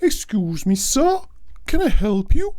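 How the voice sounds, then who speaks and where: Putting on a shrill character voice, a man speaks at a fairly slow pace with an extremely high pitch and very wide pitch swings. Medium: read story. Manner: scornful, disdainful.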